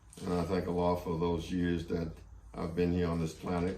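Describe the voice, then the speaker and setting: A man speaks with a very deep, low voice. Audible room echo surrounds him. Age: 70s. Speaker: Quran study group teacher. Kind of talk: lecture. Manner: halting, many fillers.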